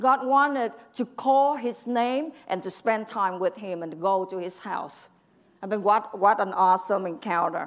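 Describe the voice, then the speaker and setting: A woman with a Vietnamese accent talks at a moderate pace in a medium pitch. Her tone is animated and her intonation lively. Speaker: preacher. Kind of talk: sermon. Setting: church.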